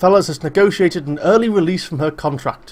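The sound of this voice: An unforced reading voice with ordinary pitch variation carries the words.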